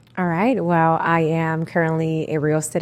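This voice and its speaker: In a Spanish accent, a woman speaks with a very deep, low pitch. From Puerto Rico. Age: 30s. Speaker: real estate agent. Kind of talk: casual interview.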